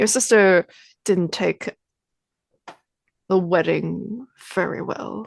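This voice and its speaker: In a put-on character voice, a female-sounding speaker talks very slowly at a middle pitch with a gravelly sound. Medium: actual play. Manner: flat, non-committal, faintly menacing.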